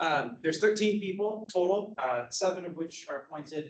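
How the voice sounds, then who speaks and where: The speaker is a man. He keeps to a moderate speed. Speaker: citizen advisory board member. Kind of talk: presentation at public meeting. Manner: projecting voice. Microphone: speaking without a microphone.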